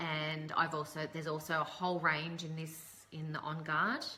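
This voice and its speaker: With an Australian accent, a woman talks at a fairly slow pace in a very deep, low pitch, and the room echo is audible. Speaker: essential oils presenter. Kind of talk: live stream tutorial. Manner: casual with many fillers.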